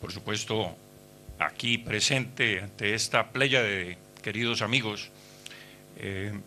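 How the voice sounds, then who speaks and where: At a very slow pace with long, frequent pauses, a man speaks with a Colombian accent at a fairly low pitch. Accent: Colombian Spanish accent, noticeable. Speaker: historian and former politician. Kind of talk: speech at book launch. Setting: hotel event hall with audience. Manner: halting with many fillers.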